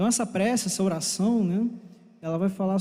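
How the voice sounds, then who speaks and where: A man with a Rio de Janeiro accent has a dark, mellow tone, a high pitch and ordinary pitch variation. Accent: Rio de Janeiro (carioca). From Brazil, Rio de Janeiro. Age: 20s. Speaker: church teacher. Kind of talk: bible class lecture. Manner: warm, conversational.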